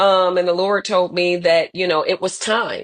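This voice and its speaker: A woman talks with an American accent. Her voice sits at a medium pitch and moves at a fairly quick pace. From US Northeast, Syracuse, New York. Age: 30s. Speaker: attorney, law firm owner. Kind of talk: interview. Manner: talkative.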